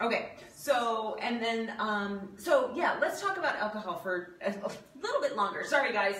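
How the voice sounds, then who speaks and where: Someone speaks at a moderate pace, with audible room echo. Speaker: video host and health coach. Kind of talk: casual cooking demo chat. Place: home room. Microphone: camera far.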